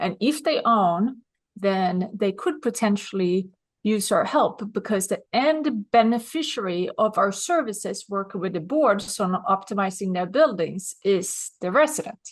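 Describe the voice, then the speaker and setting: A woman with a Swedish accent talks at a fairly slow pace in a medium pitch, her voice somewhat breathy and her intonation lively. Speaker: business consultant. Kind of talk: interview.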